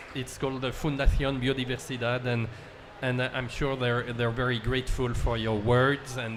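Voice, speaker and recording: With a French accent, a man speaks at a moderate pace and medium pitch amid audible room echo. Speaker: panel moderator. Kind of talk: panel discussion moderation. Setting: conference event with audience. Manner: hesitant, many fillers.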